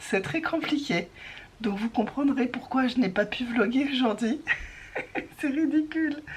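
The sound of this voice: In a put-on character voice, a woman speaks high and hoarse with lively intonation at a moderate pace. Long, frequent pauses break her speech over clear background noise.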